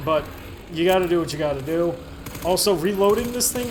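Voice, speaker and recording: In a room with audible echo and noticeable background noise, a man speaks in an animated tone at a high pitch. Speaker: gaming video host. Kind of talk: let's play commentary. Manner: casual, animated.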